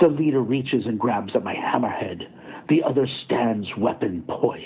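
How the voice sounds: Here the reading voice sounds natural.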